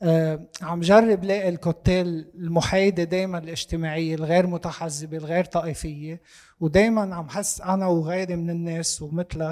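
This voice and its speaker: A man with a high pitch speaks in a monotone, flat intonation. His pace is fairly slow, with hardly any pauses. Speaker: audience member asking a question. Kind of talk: discussion question.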